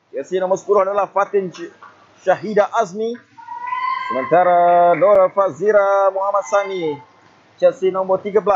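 A high-pitched man with a Malaysian accent, fairly even intonation, a fairly slow pace, long, frequent pauses, and noticeable background noise. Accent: Malaysian Malay. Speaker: futsal match commentator. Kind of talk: live sports commentary.

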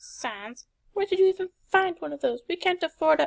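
The pitch here sits extremely high. It is a put-on character voice. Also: moderate pace. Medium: dub. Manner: loud, exasperated.

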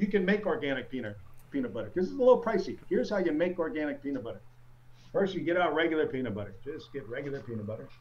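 A man with an American accent speaks at a fairly high pitch. His voice is somewhat breathy, and his pitch swings very widely. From US Northeast (Syracuse, upstate New York). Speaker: stand-up comedian. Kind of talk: stand-up comedy set performed to a virtual audience. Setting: video call from his home basement. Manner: conversational, self-deprecating storyteller with crowd-work asides; halting with frequent repeats and ums, laughing at own jokes. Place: home room. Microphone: handheld.

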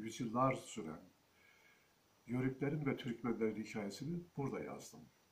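This man's voice is somewhat breathy at a moderate pace. He leaves long, frequent pauses. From Turkey, Kadirli (Osmaniye, Çukurova); Turkey. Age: 60s. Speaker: historian and author. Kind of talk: book presentation monologue. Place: home room. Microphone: phone near.

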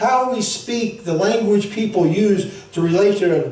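A man at a fairly slow pace, with ordinary pitch variation and audible room echo. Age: 60s. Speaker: pastor; preacher. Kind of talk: sermon. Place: church. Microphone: camera far.

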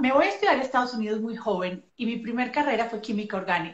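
A woman's fairly high voice with audible room echo. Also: quiet background. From Colombia, Medellín. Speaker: physician and nutrition specialist; guest. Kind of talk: casual interview on a live stream. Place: home room. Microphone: video call.

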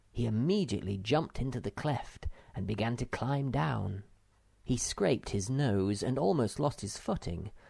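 The text is read in an unforced reading voice.

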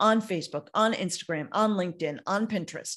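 A fairly quick pace from a woman, quiet background behind her. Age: 60s. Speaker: network marketer hosting a webinar. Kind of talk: sales pitch. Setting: video call. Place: home room. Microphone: studio mic.

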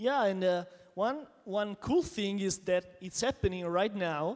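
An animated man's voice, high for a man, with ordinary pitch variation against a quiet background. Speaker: Android developer, conference speaker. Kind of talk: conference keynote. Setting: stage with audience. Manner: animated, jokey. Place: hall. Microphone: handheld.

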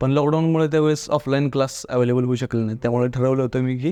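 A man speaks with a fairly high pitch and a dark, mellow tone. His intonation is fairly even. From Satara district, Maharashtra, India. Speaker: civil service exam topper. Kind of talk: interview.

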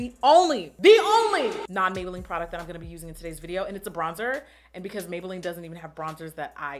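A woman talks at a very fast pace, her loudness swinging widely. Faint music plays in the background. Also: ordinary pitch variation. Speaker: beauty video creator. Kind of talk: casual vlog chat. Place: home room.

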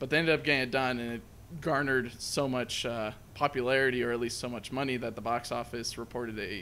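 A man talks at a very fast pace in a bright, sharp tone. His intonation is fairly even, with light background noise behind him. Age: 20s. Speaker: movie review podcast co-host; movie review podcast host. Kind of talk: casual chat. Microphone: studio mic.

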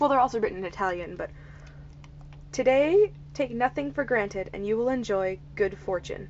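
There is light background noise as a woman talks. She has an American accent and keeps a moderate pace. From United States. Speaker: vlogger. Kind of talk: casual vlog talk to camera. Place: home room. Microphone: webcam.

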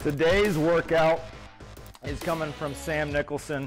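The speech is monotone and flat at a fairly slow pace, with faint music in the background. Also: man. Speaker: strength coach. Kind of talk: workout instruction. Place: gym.

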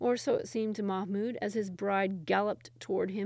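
The speaker does plain reading aloud with fairly even intonation.

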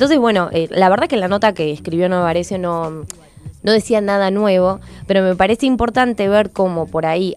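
A woman's voice at a moderate pace with ordinary pitch variation, dry with no echo, over faint background music. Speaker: radio columnist. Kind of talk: radio commentary. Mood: engaged, mildly indignant. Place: studio. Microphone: studio mic.

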